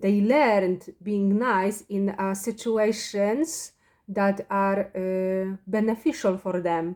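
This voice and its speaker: In a Polish accent, a woman speaks at a medium pitch with a dark, mellow tone and fairly even intonation. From Poland. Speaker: spiritual vlogger. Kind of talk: personal monologue. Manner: halting.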